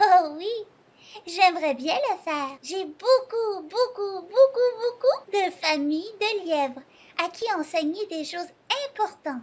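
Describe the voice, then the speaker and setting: In a cartoonish character voice pitched extremely high, a woman talks at a fairly slow pace with long, frequent pauses. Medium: puppet show.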